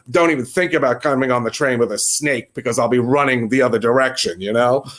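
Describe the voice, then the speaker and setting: Someone with a New York accent speaks with ordinary pitch variation on a very clean recording with a silent background. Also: man. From New York City. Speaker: New York local interviewed about the subway. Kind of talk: casual interview.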